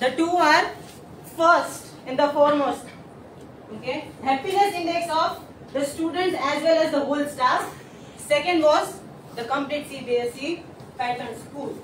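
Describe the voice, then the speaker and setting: A woman speaks loudly at a high pitch and a fairly slow pace, with ordinary pitch variation. She takes long, frequent pauses, and audible room echo fills the recording. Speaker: school teacher. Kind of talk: presentation to colleagues and judges.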